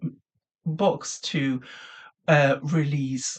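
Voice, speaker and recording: Words come out at a very slow pace. A non-native accent colors the speech. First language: not English. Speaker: indie author and vlogger. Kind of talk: casual vlog talk. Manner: hesitant, many fillers.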